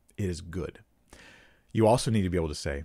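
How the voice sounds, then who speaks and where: With vocal fry and a very deep, low pitch, a man talks at a fairly quick pace using lively intonation. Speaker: pastor and YouTube Bible teacher. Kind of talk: teaching video lecture. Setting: solo recorded video. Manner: occasional stammering.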